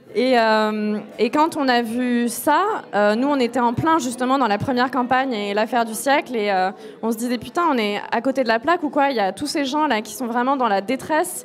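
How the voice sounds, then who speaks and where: Over noticeable background noise, a woman speaks at a high pitch and a moderate pace with ordinary pitch variation. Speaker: activist movement founder. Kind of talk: casual chat.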